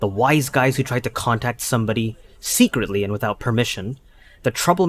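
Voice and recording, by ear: A natural voice, reading aloud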